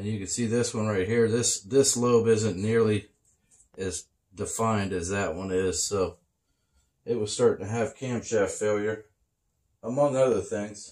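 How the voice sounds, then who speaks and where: Against a quiet background, a man with a fairly low pitch talks at a fairly slow pace in fairly even intonation, leaving long, frequent pauses. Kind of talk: casual vlog chat. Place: garage.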